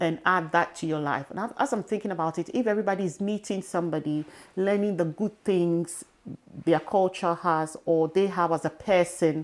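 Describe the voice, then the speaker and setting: A woman with an African accent, fairly low pitch, ordinary pitch variation and a moderate pace. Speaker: podcast host. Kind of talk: interview.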